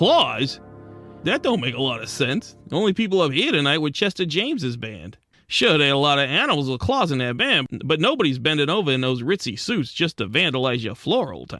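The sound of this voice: A man's put-on character voice, fairly high and bright, sharp in tone, moving at a fairly quick pace with big pitch swings over faint background music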